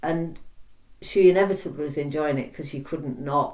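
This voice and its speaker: The speaker has a Yorkshire accent. The pace is moderate. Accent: Yorkshire (Hull) English. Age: 60s. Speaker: oral history interviewee. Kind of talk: oral history interview. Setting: interviewee's home.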